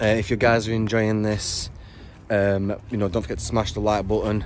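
Music plays behind a man with a fairly low pitch who speaks at a moderate pace. His intonation is monotone and flat, and the sound is dry with no echo. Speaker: urban explorer vlogger. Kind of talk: casual vlog chat. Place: open country. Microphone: phone near.

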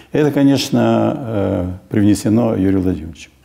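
The voice is a man's, pitched fairly low. His pitch swings very widely. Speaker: medical expert. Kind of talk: interview. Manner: halting. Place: office. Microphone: lapel.

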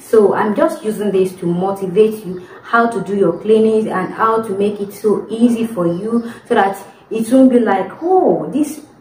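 Speaking at a fairly slow pace, a woman is heard with audible room echo and light background noise. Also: ordinary pitch variation. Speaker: domestic worker vlogger. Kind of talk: casual vlog chat. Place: home room. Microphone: phone near.

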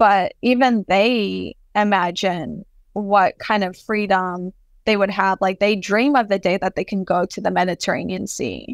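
A woman with an American accent speaks at a fairly slow pace, her pitch medium and her intonation fairly even, in an unremarkable speaking voice. The sound is dry and close with no echo, and the recording is very clean over a silent background. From US, first-generation Palestinian American. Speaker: artist. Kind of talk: interview conversation.

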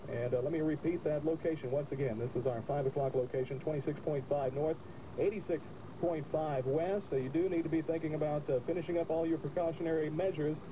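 There is noticeable background noise as a man speaks at a moderate pace, with fairly even intonation and very even loudness. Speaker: radio weather announcer. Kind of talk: radio weather bulletin. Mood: urgent but calm. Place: car. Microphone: old recording.

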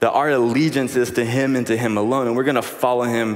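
A man is talking. His pace is fairly quick. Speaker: speaker. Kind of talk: announcements and sermon intro. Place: stage. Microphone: headset.

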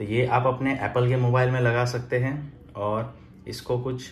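Somewhat breathy voice over light background noise. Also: man. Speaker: product reviewer. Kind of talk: unboxing review. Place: home room. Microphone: phone near.

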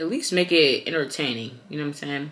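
A woman's voice sits very deep and low, with ordinary pitch variation. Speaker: vlogger. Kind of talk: casual vlog chat. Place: kitchen.

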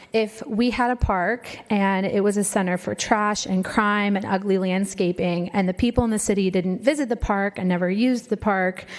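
A woman with an American accent speaks at a moderate pace with hardly any pauses, fairly even intonation, and medium pitch, in an unremarkable speaking voice. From Vista, California. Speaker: social worker, public commenter. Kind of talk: public comment speech.

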